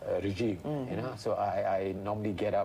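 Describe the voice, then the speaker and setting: A man speaks over noticeable background noise. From Malaysia. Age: 60s. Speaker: retired teacher and extreme sports enthusiast. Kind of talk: interview answer.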